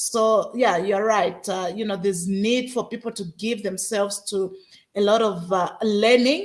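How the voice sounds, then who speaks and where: Here is an ordinary speaking voice at a moderate pace in a very clean recording with a silent background. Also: woman. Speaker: podcast host. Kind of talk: podcast interview host.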